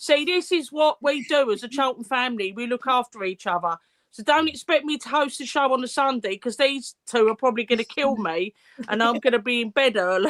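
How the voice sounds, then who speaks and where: A woman speaks loudly at a fairly quick pace in a high pitch with lively intonation. The sound is dry and close with no echo. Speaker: fan podcast host. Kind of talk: casual chat.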